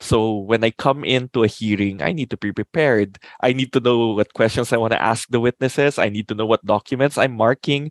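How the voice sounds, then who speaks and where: A man with a non-native accent at a fairly quick pace and fairly even intonation, in dry, close sound with no echo and a quiet background. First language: not English. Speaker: lawyer and improviser. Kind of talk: casual chat.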